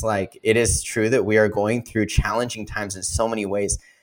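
A man speaks at a medium pitch and a moderate pace in an unremarkable speaking voice. The recording is very clean, with a silent background. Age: 30s. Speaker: lifestyle and fitness coach. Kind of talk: interview.

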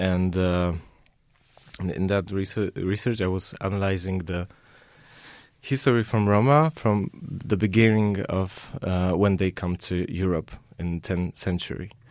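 In a Polish accent, a man speaks fairly slowly at a very deep, low pitch, with long, frequent pauses. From southern Poland. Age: young. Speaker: artist. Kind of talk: interview. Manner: halting.

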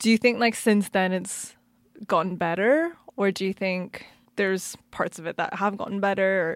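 A woman with an ordinary speaking voice talks at a moderate pace in a medium pitch, her intonation fairly even, on a very clean recording with a silent background. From Canada. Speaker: podcast host and DJ. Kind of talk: casual interview. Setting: studio.

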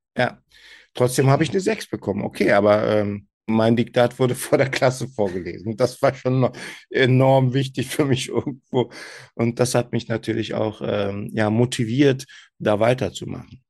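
Over a quiet background, a man with a Turkish accent speaks at a moderate pace and medium pitch with ordinary pitch variation. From Germany, Turkish family. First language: Turkish (speaking German). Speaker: SEO manager, podcast guest. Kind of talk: interview, casual chat. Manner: hesitant, many fillers.

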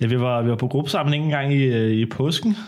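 Using an unremarkable speaking voice, a man talks at a moderate pace with a medium pitch. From Denmark, Copenhagen area. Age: 20s. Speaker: baking show contestant. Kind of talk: casual chat. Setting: at home.

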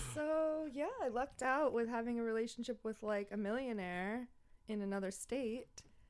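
A woman with a Long Island accent, fairly high in pitch, with ordinary pitch variation and a moderate pace. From Long Island, New York (Franklin Square). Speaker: podcast host, social media influencer. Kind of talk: casual chat.

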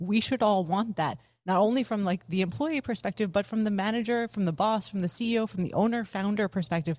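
A woman with an American accent, very fast, at a medium pitch with ordinary pitch variation, against a quiet background. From United States. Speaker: former tech PR professional, workplace consultant. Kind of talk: podcast interview conversation. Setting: video call.

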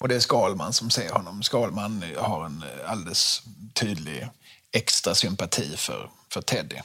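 An unremarkable speaking voice, this man's sits at a fairly low pitch and moves at a fairly slow pace with lively intonation. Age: 40s. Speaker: podcast host. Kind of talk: casual chat.

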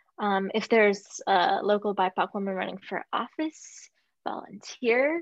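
With a normal speaking voice, a woman talks at a fairly slow pace and medium pitch with ordinary pitch variation, the sound dry and close with no echo. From raised in Russia until age seven, then US. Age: 30s. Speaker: yoga and Muay Thai instructor, women's empowerment advocate. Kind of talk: casual chat.

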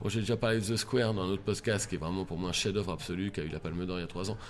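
A man's intonation stays fairly even as he rushes at a very fast clip. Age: 40s. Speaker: comedian. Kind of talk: casual chat.

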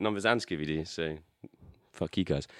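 A man with a British accent, very deep and low in pitch, with ordinary pitch variation. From UK. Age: 20s. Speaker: drummer and songwriter. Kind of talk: casual chat.

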